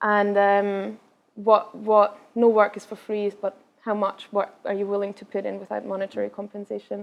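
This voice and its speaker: A woman speaks at a medium pitch and moderate pace in a flat monotone, with big swings in loudness. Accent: slight Scottish. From Austria, Vienna. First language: Austrian German. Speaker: travel blogger. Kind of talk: Q&A after a talk.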